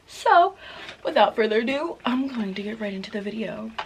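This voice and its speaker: A woman at medium pitch, animated in tone with lively intonation, over noticeable background noise. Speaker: beauty youtuber. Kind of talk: casual vlog chat and makeup review. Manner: chatty, animated.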